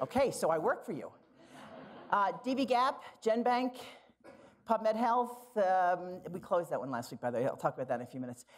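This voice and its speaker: Fairly high-pitched with vocal fry, a woman with an American accent makes very wide pitch swings and leaves long, frequent pauses. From Philadelphia, US. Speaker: library director, nurse scientist. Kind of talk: conference keynote. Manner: fast.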